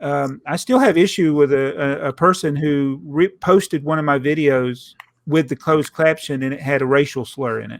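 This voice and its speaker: Speaking in a Southern US accent, a man uses a fairly high pitch and fairly even intonation at a moderate pace, with big swings in loudness. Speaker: podcast host. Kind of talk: casual chat.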